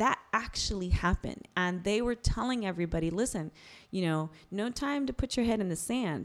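Here a woman talks with an unremarkable speaking voice and lively intonation. Her pace is moderate, and the recording is very clean with a silent background. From US West Coast (Bay Area). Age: 40s. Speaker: author. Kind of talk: casual chat.

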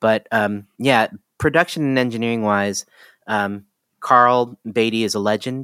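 This man speaks with an American accent in a bright, sharp tone, captured with a dry, close sound, no echo and a silent background on a very clean recording. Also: medium pitch for a man, fairly even intonation, fairly slow pace. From Ohio. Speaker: music production educator. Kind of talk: casual interview.

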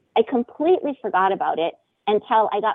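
A woman uses a normal speaking voice, fairly high in pitch, with lively intonation at a moderate pace. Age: 60s. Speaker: author and life coach. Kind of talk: interview.

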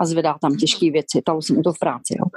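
With an unremarkable speaking voice, a woman speaks at a moderate pace in a fairly low pitch and fairly even intonation, the sound dry and close with no echo. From Czech Republic, Šumava region. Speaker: restaurant owner. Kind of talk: interview.

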